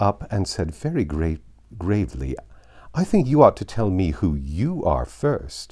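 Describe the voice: Text read aloud, plainly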